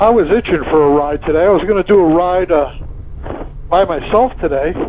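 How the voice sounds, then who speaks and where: There is noticeable background noise as a man talks at a high pitch. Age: 70s. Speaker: motovlogger. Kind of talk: casual vlog narration while riding. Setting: riding a motorcycle outdoors. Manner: halting, many fillers.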